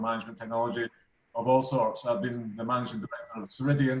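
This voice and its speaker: This man speaks with a Glaswegian accent. His pitch is medium, with ordinary variation. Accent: Glaswegian Scottish. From Scotland, Glasgow. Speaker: business executive and shareholder. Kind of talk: introduction in online meeting.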